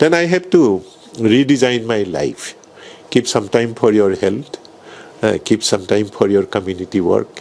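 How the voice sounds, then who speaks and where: A man at medium pitch speaks at a fairly slow pace with very wide pitch swings amid noticeable background noise. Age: 70s. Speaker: neurologist and hospital founder. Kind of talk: interview.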